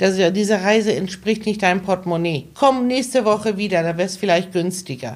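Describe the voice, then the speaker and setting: Talking at a fairly quick pace with hardly any pauses, a woman has an unremarkable speaking voice, a medium pitch and ordinary pitch variation. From Hamburg, northern Germany (born in Iran). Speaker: travel agent. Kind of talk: interview conversation.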